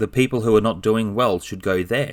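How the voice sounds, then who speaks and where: A man talks in a normal speaking voice, fairly low in pitch, with ordinary pitch variation. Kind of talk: casual book review talk.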